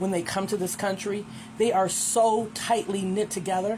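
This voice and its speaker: A woman speaks over noticeable background noise. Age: 60s. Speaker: social media commentator. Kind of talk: casual video response monologue. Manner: halting, many ums.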